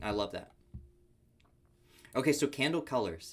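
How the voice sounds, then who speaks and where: Speaking at a fairly slow pace, a man with an American accent uses lively intonation. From Arizona. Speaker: futures trader teaching on a livestream. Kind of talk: live trading tutorial. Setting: livestream with screen share. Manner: animated.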